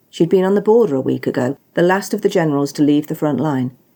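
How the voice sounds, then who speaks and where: With a British accent, a woman talks at a fairly quick pace. Her tone is dark and mellow. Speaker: author. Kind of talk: audiobook story reading.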